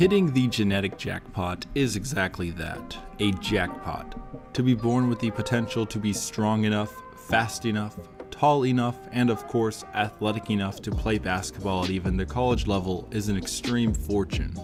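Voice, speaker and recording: Music plays in the background as a man speaks. His pitch is fairly low, his pace moderate, and his pitch variation ordinary. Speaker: basketball video narrator. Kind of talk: sports history narration.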